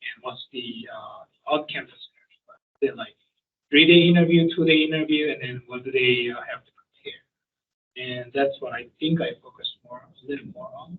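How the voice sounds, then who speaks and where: With a Korean accent, a man speaks at a moderate pace. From South Korea. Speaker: professor. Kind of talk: panel discussion. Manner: halting.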